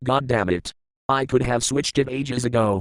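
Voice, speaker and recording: Growling in a cartoonish character voice, a man speaks at medium pitch and a moderate pace. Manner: grumpy, demanding.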